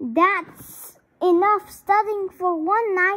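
A woman puts on a character voice in an extremely high pitch. She speaks at a very slow pace.

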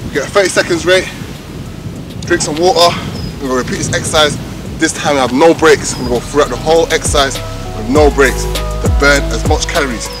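Clear music plays in the background as a man talks at a very fast pace, the sound dry with no echo. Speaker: fitness trainer. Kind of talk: workout tutorial. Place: street.

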